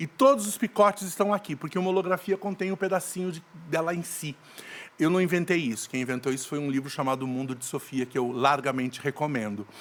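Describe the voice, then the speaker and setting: Very fast and lively in intonation, a man talks. His pitch sits fairly high. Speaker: actor and theatre director. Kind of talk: podcast interview.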